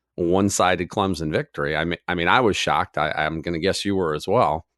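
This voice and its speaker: A man with a very deep, low pitch speaks at a moderate pace, the sound dry and close with no echo against a quiet background. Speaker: podcast co-host. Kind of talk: casual chat. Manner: many filler words and hesitations.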